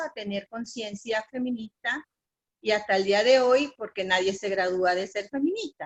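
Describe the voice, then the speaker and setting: The sound is dry and close, with no echo. A woman with an unremarkable speaking voice talks at a moderate pace, using ordinary pitch variation. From Panama. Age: 60s. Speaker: feminist activist. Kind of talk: panel discussion.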